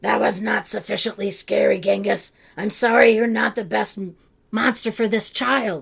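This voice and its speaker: This raspy, put-on character voice sits at a fairly high pitch and moves at a moderate pace. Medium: read story. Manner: formal, instructive.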